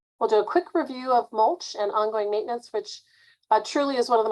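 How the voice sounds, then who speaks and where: The pace is fairly quick. It comes from a woman. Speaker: master gardener presenter. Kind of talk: webinar presentation. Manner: fast.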